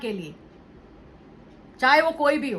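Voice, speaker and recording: The speaker is a woman with a high pitch. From Indian cities. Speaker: vlogger. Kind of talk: monologue vlog. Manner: Hindi-English code-switching.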